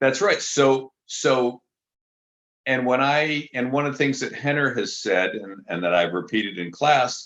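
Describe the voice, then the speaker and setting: The speaker has an American accent with vocal fry. The pace is moderate. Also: man. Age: 70s. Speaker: jiu-jitsu instructor. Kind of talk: interview.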